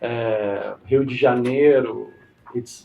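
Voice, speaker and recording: Against noticeable background noise, a man speaks very slowly. His pitch is medium, with ordinary variation. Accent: Portuguese. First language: Portuguese. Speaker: interviewer. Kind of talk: interview.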